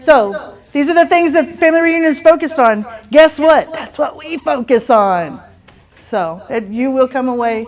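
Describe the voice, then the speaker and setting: A woman with a Texas accent speaks at a fairly slow pace in a high pitch. Her intonation is lively, and her loudness swings widely. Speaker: real estate team leader. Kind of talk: team meeting announcements.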